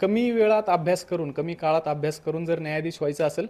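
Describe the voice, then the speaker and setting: A man speaks with ordinary pitch variation. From Pune district, Maharashtra. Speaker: judge. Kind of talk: interview.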